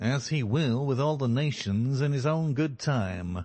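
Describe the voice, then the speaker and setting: Using a put-on character voice, a man sounds nasal at medium pitch, keeping very even loudness and a moderate pace. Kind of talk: biblical, formal.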